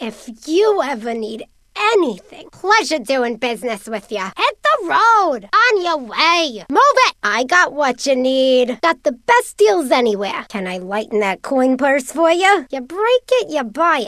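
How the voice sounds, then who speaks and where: In a put-on character voice, a female-sounding speaker uses a high pitch with very wide pitch swings at a fairly slow pace. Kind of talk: video game character lines. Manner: brash, pushy, impatient.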